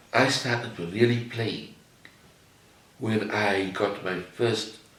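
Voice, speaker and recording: Over noticeable background noise and audible room echo, a man speaks at a very slow pace with a fairly low pitch and ordinary pitch variation. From South Africa, Cape Town. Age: 80s+. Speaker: artist. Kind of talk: interview.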